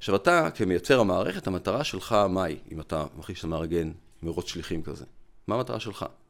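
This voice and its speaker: A man with a very deep, low pitch, ordinary pitch variation and a fairly quick pace. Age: 50s. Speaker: physician and lecturer. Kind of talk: interview conversation. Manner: explanatory.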